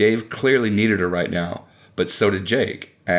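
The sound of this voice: The pitch varies in an ordinary way across an unforced reading voice.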